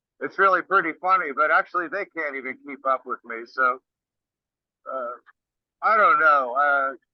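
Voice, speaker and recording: This man's voice sits fairly high in pitch, with ordinary variation. He speaks at a fairly slow pace. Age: 60s. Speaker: rock singer. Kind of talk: interview. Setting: video call. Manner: casual.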